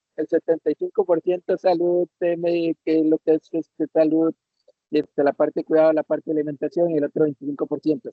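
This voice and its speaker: This man talks in a Costa Rican accent, with a fairly high pitch. His intonation is monotone and flat, and his pace fairly quick. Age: 60s. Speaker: retiree, webinar participant. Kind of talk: audience question. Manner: halting, many fillers.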